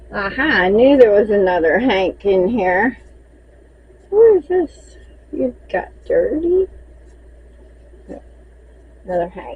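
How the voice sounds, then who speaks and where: With a Southern US accent and a relaxed tone, a woman speaks very slowly in a fairly high pitch, her pitch swinging very widely, with long, frequent pauses and noticeable background noise. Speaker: crochet maker and seller. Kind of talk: casual inventory walkthrough. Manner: chatty, relaxed.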